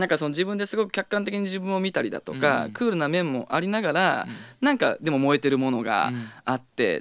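Over a quiet background, a man talks at a fairly quick pace. His pitch swings very widely. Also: dry sound with no echo. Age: 30s. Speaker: rock band vocalist and guitarist; guest. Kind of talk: radio interview. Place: studio. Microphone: studio mic.

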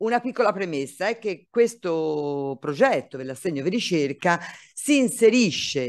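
The setting behind the speaker is quiet. A man talks with lively intonation. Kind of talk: conference presentation. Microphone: video call.

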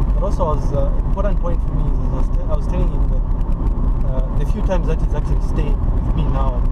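The speech moves at a very fast pace over loud background noise. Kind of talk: casual conversation. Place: car. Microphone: camera far.

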